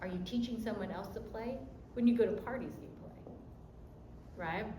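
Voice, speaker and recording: A woman talks at a fairly quick pace with fairly even intonation, and her loudness swings widely. Audible room echo and noticeable background noise are present. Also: fairly high pitch for a woman. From US mainland, Japanese-American. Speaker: college admissions counselor. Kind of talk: workshop talk. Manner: fast; casual, direct.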